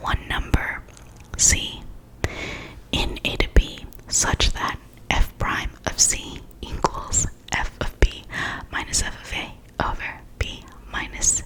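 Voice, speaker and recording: A whispering woman against noticeable background noise. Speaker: ASMR math tutor. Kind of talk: ASMR math lesson.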